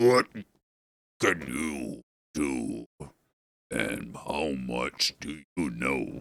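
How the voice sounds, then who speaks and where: A man growls in a put-on character voice with a very deep, low pitch and ordinary pitch variation, speaking at a very slow pace with long, frequent pauses in a dry, close sound with no echo. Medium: read story. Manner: inquisitive.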